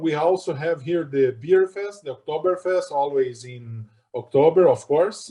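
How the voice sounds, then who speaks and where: The man's voice has a dark, mellow tone. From southern Brazil, near Argentine border. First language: German. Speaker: retina specialist. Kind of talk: interview.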